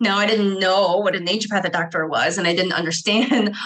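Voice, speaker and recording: Bright and sharp in tone, a woman talks at a very fast pace in an animated way, with ordinary pitch variation. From Ohio, US Midwest. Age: 30s. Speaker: naturopathic physician. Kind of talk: casual interview chat.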